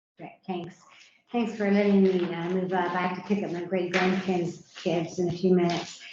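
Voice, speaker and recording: With monotone, flat intonation, a woman speaks at medium pitch and a moderate pace amid audible room echo. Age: 70s. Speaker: public commenter, senior citizen and landlord. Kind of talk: public hearing testimony.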